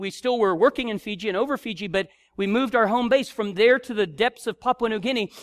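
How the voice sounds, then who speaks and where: A man talks at a fairly quick pace in a high pitch. His intonation stays fairly even. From Africa. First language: not English. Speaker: missionary preacher. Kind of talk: sermon. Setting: church.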